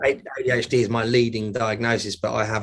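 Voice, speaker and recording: A man with a British accent speaks at a fairly low pitch with monotone, flat intonation. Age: 30s. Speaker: mental health advocate. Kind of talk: interview. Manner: halting.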